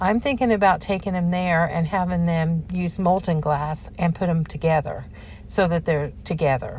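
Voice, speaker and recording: Her voice is fairly low-pitched and somewhat breathy. The woman talks at a moderate pace. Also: ordinary pitch variation. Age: 60s. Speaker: lifestyle vlogger. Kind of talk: casual vlog talk. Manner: animated.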